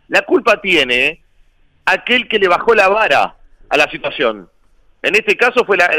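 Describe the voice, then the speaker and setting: A man with a Uruguayan accent, fairly slow pace, very even loudness, and long, frequent pauses. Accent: Rioplatense Spanish (Uruguayan). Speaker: youtuber and club election candidate. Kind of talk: casual chat.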